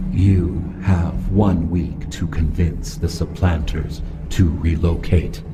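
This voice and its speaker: Against loud background noise, a man in a put-on character voice speaks very slowly at a very deep, low pitch. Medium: audio drama. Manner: cold, formal, commanding.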